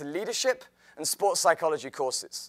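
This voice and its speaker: A man's bright, sharp voice with an English accent at a fairly quick pace, in a dry, close sound with no echo on a very clean recording with a silent background. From England, outside London. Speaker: health and fitness teacher. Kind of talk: presentation talk.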